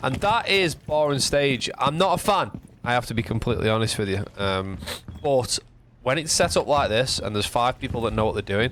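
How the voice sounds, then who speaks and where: Talking at a fairly quick pace, a man with a northern English accent uses a medium pitch and lively intonation. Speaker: gaming guide youtuber. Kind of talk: tutorial.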